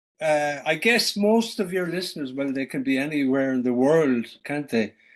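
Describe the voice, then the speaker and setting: Against a quiet background, a man with a Cork accent talks at a fairly slow pace in a fairly high voice, his intonation lively. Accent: Irish, Cork. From Ireland, West Cork. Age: 60s. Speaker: author and traveler. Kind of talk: interview conversation. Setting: Zoom video call from home farm. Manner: hesitant, with fillers.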